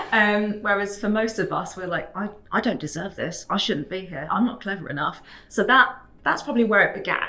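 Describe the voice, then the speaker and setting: Noticeable background noise sits behind a woman with a British accent. She speaks at a fairly quick pace and medium pitch, with ordinary variation. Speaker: fraud prevention professional. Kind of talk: interview. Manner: halting.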